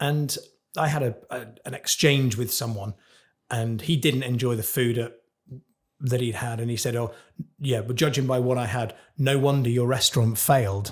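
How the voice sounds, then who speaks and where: A man talks at a moderate pace, his voice somewhat breathy and medium in pitch. He leaves long pauses, and often. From Cornwall, England. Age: 40s. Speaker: chef. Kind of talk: podcast interview. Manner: animated.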